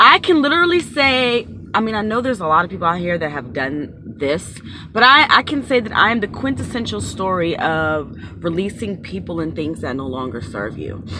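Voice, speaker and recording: With an American accent, a woman speaks at a fairly quick pace in a bright, sharp tone, her pitch swinging very widely and her voice showing vocal fry. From Maryland, US. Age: 30s. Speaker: YouTuber and tarot reader. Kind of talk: personal storytelling vlog. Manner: casual, with frequent fillers.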